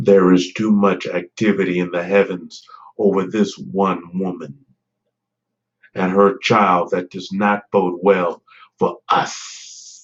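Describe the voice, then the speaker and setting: A put-on character voice from a man, rumbling and very deep in pitch, monotone and flat, at a fairly slow pace. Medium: read story. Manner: menacing.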